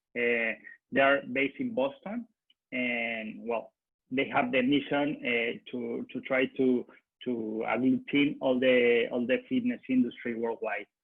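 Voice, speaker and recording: Someone speaks at a fairly slow pace in a Spanish accent. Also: man. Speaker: marketing manager at a consultancy. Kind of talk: business presentation. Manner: halting, many hesitations.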